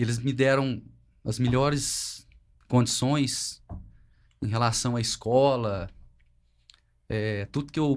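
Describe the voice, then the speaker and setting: A man at a medium pitch speaks very slowly with fairly even intonation, leaving long, frequent pauses. The recording is very clean, with a silent background. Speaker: family business manager. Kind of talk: family podcast conversation.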